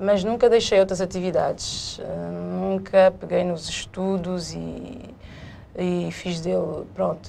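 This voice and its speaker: Speaking at a very slow pace, a woman shows big swings in loudness against noticeable background noise. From São Tomé and Príncipe, partly raised in Portugal. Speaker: businesswoman, laundry co-owner. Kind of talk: interview.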